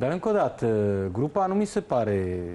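A man talks at a moderate pace in a dark, mellow tone. His pitch swings very widely. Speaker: football pundit. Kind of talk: studio football analysis. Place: studio.

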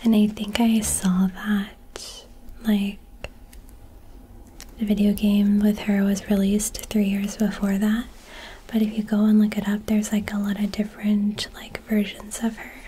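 Soft-spoken and relaxed, the speaker talks at a fairly slow pace with long, frequent pauses. The intonation stays monotone and flat. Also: woman. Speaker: content creator. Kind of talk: casual soft-spoken trivia chat. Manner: soft-spoken, relaxed bedtime voice. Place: home room.

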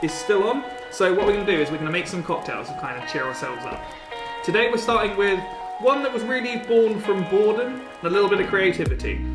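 A man with a high voice talks very fast with ordinary pitch variation, clear music playing in the background. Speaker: home cocktail host. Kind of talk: tutorial. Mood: upbeat and cheerful. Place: home room.

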